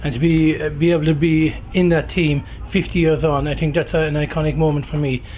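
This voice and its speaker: A man talks at a fairly quick pace with hardly any pauses, in a fairly high, monotone, flat voice. Noticeable background noise runs underneath. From Ireland. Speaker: rallycross driver. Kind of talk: trackside interview. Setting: race circuit motorhome.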